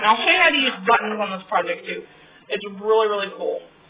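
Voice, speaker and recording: A woman at a medium pitch, talking at a very fast pace against noticeable background noise. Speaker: craft tutorial youtuber. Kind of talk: tutorial.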